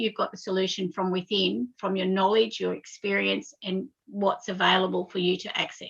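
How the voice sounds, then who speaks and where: A woman with an Australian accent talks at a moderate pace with hardly any pauses. Her pitch sits in the medium range. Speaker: spiritual guest. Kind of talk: casual chat. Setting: live internet radio stream. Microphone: unstable internet connection.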